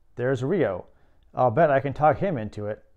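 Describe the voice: The speaker is doing plain reading aloud. Nothing else is noted.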